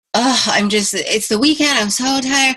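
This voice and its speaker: Her tone animated, a woman speaks with lively intonation. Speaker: fitness team coach. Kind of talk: team conference call pep talk. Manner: fast.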